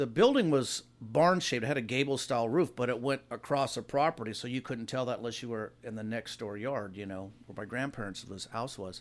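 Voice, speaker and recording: With an American accent, a man uses an ordinary speaking voice, lively intonation and a fairly quick pace. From US West Coast, Los Angeles area. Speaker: hot rod builder, son of a hot rod figure. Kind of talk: casual chat.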